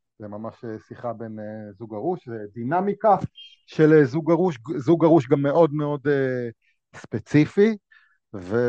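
A man with a fairly high pitch and a dark, mellow tone talks at a fairly slow pace with lively intonation and big swings in loudness, in a dry, close sound with no echo. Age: 40s. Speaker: playwright and stage actor. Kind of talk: casual interview chat.

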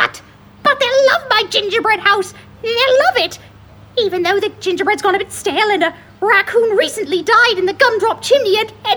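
In a put-on character voice, a female-sounding speaker uses an extremely high pitch at a moderate pace. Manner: grandiose, theatrical.

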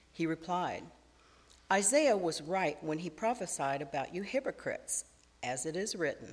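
The recording is very clean, and the background is silent. A woman speaks at a moderate pace in a plain, everyday voice. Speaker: scripture reader. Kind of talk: reading aloud. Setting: church.

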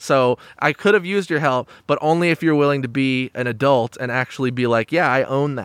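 Recorded with a dry, close sound and no echo, an ordinary speaking voice moves at a fairly quick pace with ordinary pitch variation. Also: man. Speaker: podcast host. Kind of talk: casual interview chat.

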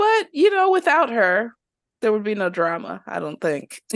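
An animated tone over a quiet background. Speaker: podcast host. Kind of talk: casual chat. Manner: animated, laughs often.

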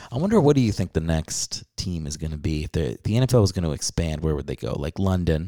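This voice has a dark, mellow tone and lively intonation, moving at a fairly quick pace. The recording is very clean with a silent background, and the sound is dry and close with no echo. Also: man, very deep, low pitch for a man. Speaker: podcast host and stand-up comedian. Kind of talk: casual chat. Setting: home recording late at night. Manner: talking quietly.

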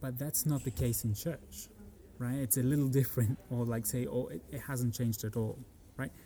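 At a moderate pace and medium pitch, a man talks in a dark, mellow tone that is somewhat breathy, his pitch varying in an ordinary way. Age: 30s. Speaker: musician and architect. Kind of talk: casual interview. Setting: university in Frankfurt.

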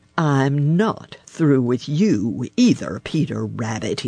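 Growling in a put-on character voice at a low-to-middle pitch, the speaker drags along at a very slow pace. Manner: snarling, menacing.

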